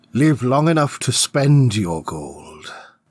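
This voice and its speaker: A man puts on a gruff, growling character voice at medium pitch. He moves slowly, with fairly slow pacing and very wide pitch swings. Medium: read story. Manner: gruff, commanding, growling.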